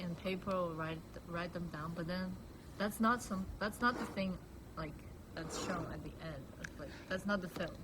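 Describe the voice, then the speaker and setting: A woman speaks at a fairly low pitch and moderate pace, her intonation fairly even. There is noticeable background noise and audible room echo. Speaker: filmmaker. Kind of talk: casual interview.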